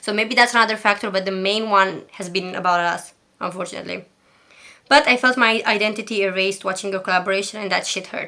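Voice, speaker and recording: Talking at a very fast pace, a woman with a Romanian accent has a bright, sharp tone in a very clean recording with a silent background. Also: medium pitch for a woman, fairly even intonation. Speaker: commentary YouTuber. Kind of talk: reading own email aloud, commentary; casual commentary. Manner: sometimes stutters; shy, hesitant.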